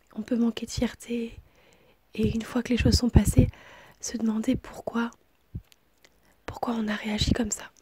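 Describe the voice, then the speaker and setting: A woman whispers softly at a moderate pace. She leaves long, frequent pauses. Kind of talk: ASMR whispered relationship advice. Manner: whispered, soft-spoken.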